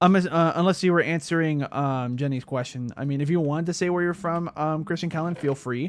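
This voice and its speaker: A man with an American accent talks at a fairly quick pace with ordinary pitch variation on a very clean recording with a silent background. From Mexican-born, grew up in the United States. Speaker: gaming streamer. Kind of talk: casual livestream chat while gaming. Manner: hesitant, many fillers.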